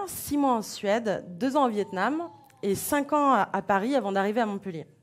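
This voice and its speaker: At a moderate pace, a woman talks with ordinary pitch variation in a plain, everyday voice. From France, Beaujolais. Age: 40s. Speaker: association founder. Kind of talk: conference talk.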